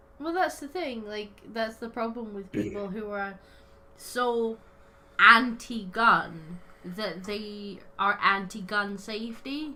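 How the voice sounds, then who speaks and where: With a Scottish accent, a woman talks very slowly in a fairly high-pitched voice with a bright, sharp tone and big swings in loudness. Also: ordinary pitch variation. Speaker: podcast host. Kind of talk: casual chat.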